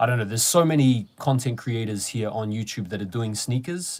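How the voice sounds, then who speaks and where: In a very clean recording with a silent background, a man with a New Zealand accent speaks at a medium pitch. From New Zealand, Wellington. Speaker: sneaker YouTuber. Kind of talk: live stream chat. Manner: casual, hesitant with fillers.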